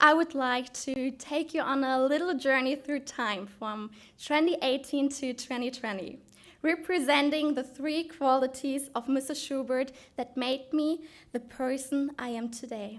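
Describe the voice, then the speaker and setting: A woman with a German accent speaks at a fairly slow pace in a high voice with fairly even intonation, on a very clean recording with a silent background. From Germany. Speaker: student speaker in oratory contest. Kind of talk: prepared oratorical speech.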